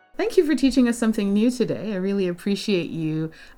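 A woman with lively intonation at a fairly quick pace, music in the background. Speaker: podcast host and language learner. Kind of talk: interview, casual chat.

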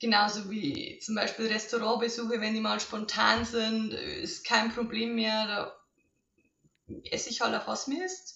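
A plain, everyday voice from a woman, fairly high in pitch, with lively intonation at a fairly slow pace. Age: 20s. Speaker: coaching client. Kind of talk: testimony.

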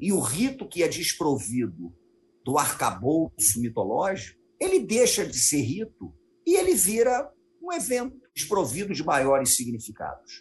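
A man with a Carioca accent at a fairly slow pace. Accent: carioca Brazilian Portuguese. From Rio de Janeiro, Brazil. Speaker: historian and teacher. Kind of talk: interview conversation.

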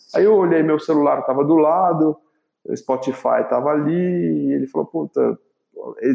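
Here is a man with an ordinary speaking voice. He keeps a moderate pace with ordinary pitch variation. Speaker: entrepreneur, facilitator for leaders. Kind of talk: interview storytelling.

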